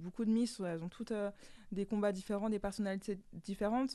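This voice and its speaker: A woman speaks at medium pitch with a dark, mellow tone. Her intonation stays fairly even. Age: 20s. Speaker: guest, insurance advisor. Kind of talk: casual radio interview. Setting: studio.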